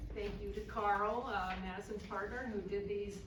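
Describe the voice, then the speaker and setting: With noticeable background noise and audible room echo, a woman speaks at a medium pitch. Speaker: presenter. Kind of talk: public talk. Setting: room with audience, microphone. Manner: loud.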